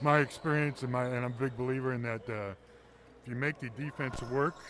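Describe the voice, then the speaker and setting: With an American accent, a man speaks at a medium pitch and a fairly quick pace, his intonation fairly even. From Texas, Houston. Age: 60s. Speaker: basketball color commentator. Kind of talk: live commentary. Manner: halting, many fillers.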